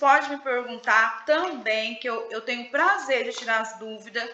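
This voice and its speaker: A woman speaks at a high pitch and a fairly slow pace. Room echo is audible. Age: 40s. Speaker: psychoanalyst leading a book study group. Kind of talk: live online book study session.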